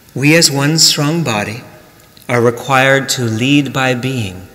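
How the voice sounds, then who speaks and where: Noticeable background noise runs throughout. Over it, a man talks at a medium pitch. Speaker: minister. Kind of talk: sermon.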